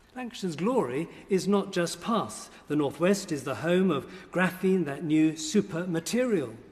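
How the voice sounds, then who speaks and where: The speaker has a southern English accent. Lively intonation runs through a moderate pace. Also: man, high pitch for a man. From southern England. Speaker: bishop. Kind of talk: formal speech. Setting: parliamentary chamber. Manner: formal.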